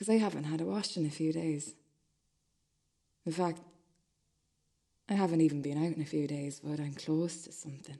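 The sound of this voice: A woman's put-on character voice, low-pitched, dark and mellow, with a slightly husky edge, vocal fry and long, frequent pauses. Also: fairly even intonation, moderate pace.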